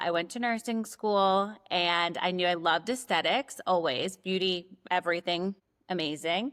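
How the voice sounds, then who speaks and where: With a New York accent, a woman talks at a moderate pace and medium pitch, keeping her intonation fairly even. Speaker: nurse practitioner and aesthetic injector. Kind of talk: casual chat.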